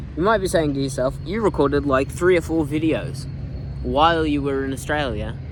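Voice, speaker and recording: Audible room echo and noticeable background noise surround a man speaking at a moderate pace in a fairly high pitch with ordinary pitch variation. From United States. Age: 19. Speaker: vlogger. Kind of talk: casual vlog monologue. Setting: outdoors in a park. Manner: halting, many fillers and self-corrections.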